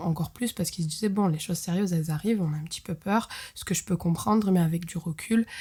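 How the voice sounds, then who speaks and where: Talking at a fairly quick pace, a woman has a somewhat breathy, fairly low voice. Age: 20s. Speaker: podcast host. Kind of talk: storytelling. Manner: casual, many hesitations.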